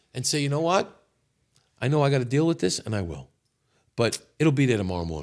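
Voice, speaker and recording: Speech in a New York accent races along very fast, with very wide pitch swings and long, frequent pauses. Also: man, medium pitch for a man. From New York City. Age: 60s. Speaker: podcast guest, former auto repair business owner. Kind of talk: casual chat.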